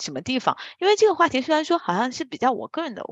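A woman talks at a fairly quick pace. The sound is dry and close with no echo, and the background is quiet. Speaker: strategy consultant, podcast co-host. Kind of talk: casual chat.

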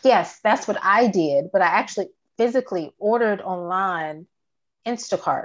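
Against a quiet background, a woman with an American accent talks at a moderate pace in an ordinary speaking voice, her pitch medium with ordinary variation. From Virginia. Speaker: graduate student and mother. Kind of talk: oral history interview.

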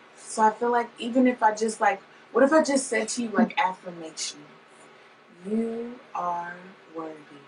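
Against noticeable background noise, the speaker keeps a moderate pace with ordinary pitch variation and long, frequent pauses. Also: woman, fairly high pitch for a woman. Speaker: podcast host. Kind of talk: casual chat.

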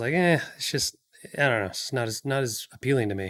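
Fairly quick male speech with an American accent. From Washington State, US. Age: 30s. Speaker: film producer. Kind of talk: casual interview.

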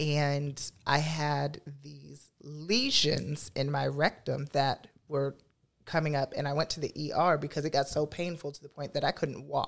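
With an American accent and vocal fry, a woman speaks at a very deep, low pitch and a fairly slow pace, her intonation fairly even but her loudness swinging widely, on a very clean recording with a silent background. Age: 20s. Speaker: drag performer. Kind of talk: testimony.

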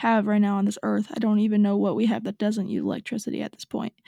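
On a very clean recording with a silent background and a dry, close sound with no echo, a woman speaks at a very fast pace with a fairly high pitch, a dark, mellow tone, a somewhat breathy quality and monotone, flat intonation. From northern Utah, US. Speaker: life coach and podcast host. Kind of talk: solo motivational podcast talk.

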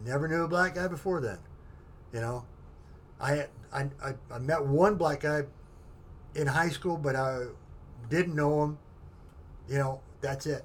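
A man with a fairly high, somewhat breathy voice talks at a fairly slow pace. He leaves long, frequent pauses, and his pitch varies in an ordinary way. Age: 50s. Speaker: military veteran. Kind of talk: casual chat. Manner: halting.

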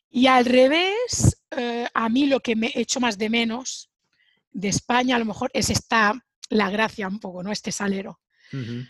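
Here is a woman with a normal speaking voice, pitched fairly high and with ordinary pitch variation. Her pace is fairly slow, and the sound is dry and close with no echo. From Spain, Sabadell (Barcelona). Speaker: Spanish teacher. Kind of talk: casual interview.

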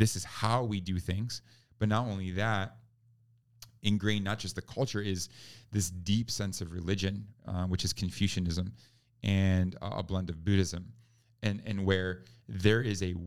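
Against a silent background in a very clean recording, a man with an American accent talks at a fairly slow pace with very deep, low pitch, fairly even intonation, and long, frequent pauses. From New York. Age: 30s. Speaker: pastor and missionary. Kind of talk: interview conversation.

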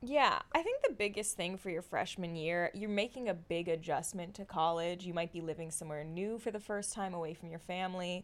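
At a fairly quick pace with hardly any pauses, a woman with a plain, everyday voice speaks at medium pitch with ordinary pitch variation. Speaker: student opinion editor. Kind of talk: casual chat, advice conversation.

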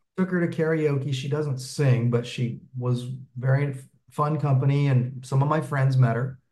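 A man speaks at a moderate pace with a medium pitch and fairly even intonation, his tone dark and mellow. His voice is somewhat breathy, and audible room echo surrounds it. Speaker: meetup participant seeking relationship advice. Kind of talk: casual chat.

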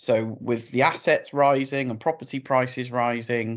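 Over a quiet background, a man speaks with a British accent. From UK. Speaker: financial planning expert. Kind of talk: interview.

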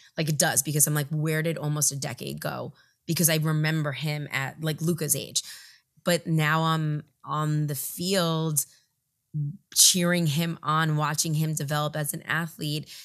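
At a moderate pace, a woman speaks at a very deep, low pitch with monotone, flat intonation. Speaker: podcast host, mother. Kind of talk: casual chat.

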